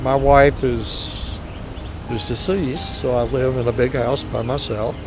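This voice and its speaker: Music plays in the background as a man with a Southern US accent talks fairly slowly at a medium pitch. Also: fairly even intonation. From Mississippi, US. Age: 80s+. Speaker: physician and tennis player. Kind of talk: testimonial interview.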